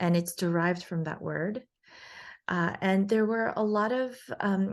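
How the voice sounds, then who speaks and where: Speaking at a fairly slow pace with a New York accent, a woman uses a medium pitch and ordinary pitch variation against a quiet background. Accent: New York American. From New York City. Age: 40s. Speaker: facial plastic surgeon. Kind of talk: interview. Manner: hesitant, many fillers.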